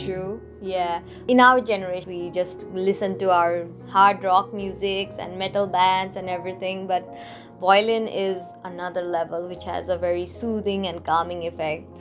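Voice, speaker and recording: A woman at a medium pitch talks at a moderate pace with fairly even intonation and big swings in loudness, with music in the background. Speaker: podcast interviewer. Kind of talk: interview questions.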